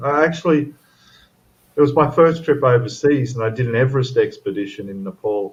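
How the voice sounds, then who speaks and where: A somewhat breathy male voice at a moderate pace, with ordinary pitch variation. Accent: Australian. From Australia. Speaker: model-building livestream co-host. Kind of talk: casual chat.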